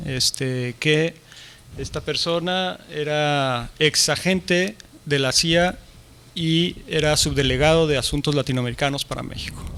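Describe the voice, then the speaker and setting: Speaking at a very slow pace, a man with a Mexican accent and a fairly high pitch keeps his intonation fairly even. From Mexico. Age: 40s. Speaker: martial arts teacher and writer. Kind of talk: conference interview. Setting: stage with audience.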